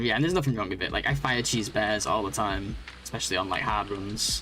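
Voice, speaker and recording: Over music in the background and audible room echo, a man with a fairly low pitch speaks at a very fast pace. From northwest England. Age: 30s. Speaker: game streamer. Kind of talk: live gaming stream chat.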